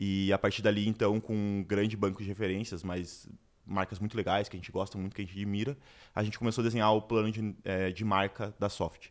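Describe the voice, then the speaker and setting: On a very clean recording with a silent background, a man speaks in a fairly low pitch with monotone, flat intonation. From Brazil, Curitiba. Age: 20s. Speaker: entrepreneur. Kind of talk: interview.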